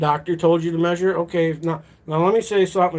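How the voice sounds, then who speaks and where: Speaking with an American accent, a man uses a plain, everyday voice, fairly high in pitch, at a fairly quick pace with fairly even intonation. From lower Michigan. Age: 40s. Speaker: live streamer. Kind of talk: casual live stream chat.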